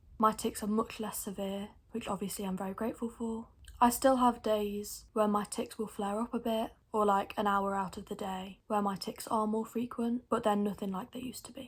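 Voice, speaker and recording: Very clean recording, silent background, with a woman's fairly high, somewhat breathy voice, monotone and flat in intonation, big swings in loudness, at a moderate pace. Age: young, 19. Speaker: vlogger with Tourette syndrome. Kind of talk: informational vlog. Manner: involuntary vocal tics, squeaky grunts.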